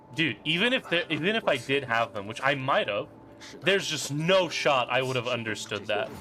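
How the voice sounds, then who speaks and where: Over noticeable background noise, a man at medium pitch talks at a moderate pace with lively intonation. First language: not English. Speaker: gaming streamer. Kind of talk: live stream commentary. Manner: casual, halting with repetitions.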